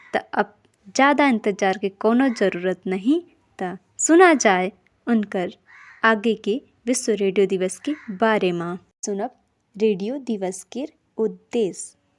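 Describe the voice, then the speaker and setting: In a very clean recording with a silent background and a dry, close sound with no echo, a woman speaks in a fairly high voice with ordinary pitch variation and long, frequent pauses. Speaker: radio program host. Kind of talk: community radio talk show.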